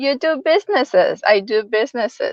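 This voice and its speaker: A woman with a Spanish accent speaks at a very slow pace. Her high voice makes very wide pitch swings. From El Salvador (San Salvador). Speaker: real estate agent. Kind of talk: interview.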